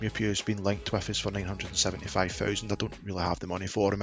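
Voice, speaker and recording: Over music in the background, a man with a fairly low pitch talks at a very fast pace with ordinary pitch variation. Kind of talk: gaming commentary. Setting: headset microphone, home recording. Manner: casual, conversational.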